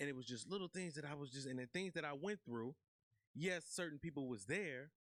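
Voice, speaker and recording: A man with a plain, everyday voice, fairly high pitch, ordinary pitch variation and a fairly quick pace, in a dry, close sound with no echo. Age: 30s. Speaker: podcast host. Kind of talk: casual interview chat.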